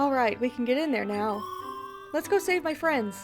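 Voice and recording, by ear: Over clear background music, a woman puts on a character voice, high-pitched and breathy, at a moderate pace.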